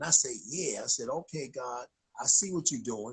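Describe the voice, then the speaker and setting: A man with a New York accent speaks in an animated tone, his voice somewhat breathy. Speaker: chaplain, ministry founder. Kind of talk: casual livestream talk. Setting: Instagram live stream.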